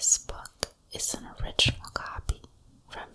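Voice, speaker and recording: Someone whispers at a fairly slow pace. Noticeable background noise runs underneath. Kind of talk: fairy tale reading. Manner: whispered.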